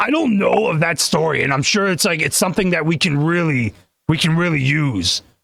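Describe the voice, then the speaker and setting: A man puts on a raspy character voice at a fairly high pitch. He talks at a fairly quick pace with very even loudness. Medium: game stream. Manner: rambling, stammering.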